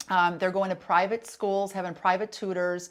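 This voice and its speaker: In an American accent, a woman with a fairly low pitch speaks at a very fast pace on a very clean recording with a silent background. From Wisconsin. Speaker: parenting and pop culture speaker, former actress. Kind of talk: talk show interview.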